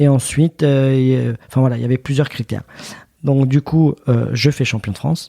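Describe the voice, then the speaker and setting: A man speaks at medium pitch. His tone is dark and mellow. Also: fairly even intonation, moderate pace. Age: 30s. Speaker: retired wrestler. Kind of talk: podcast interview. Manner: halting.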